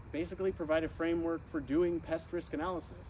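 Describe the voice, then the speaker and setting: A man with an American accent and fairly high pitch. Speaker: insect risk analyst, speaker. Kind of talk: informal talk to audience. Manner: fast.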